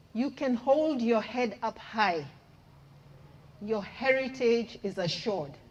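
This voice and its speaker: Amid noticeable background noise, a woman with a fairly high pitch and lively intonation speaks very slowly, with long, frequent pauses. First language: English (speaking French). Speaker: head of a development agency office. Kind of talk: farewell tribute speech.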